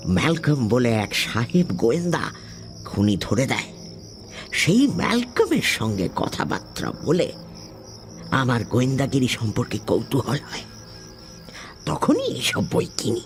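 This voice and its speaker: Putting on a character voice, a man speaks at a fairly slow pace against clear background noise. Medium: audio drama. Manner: measured, genial, old-fashioned.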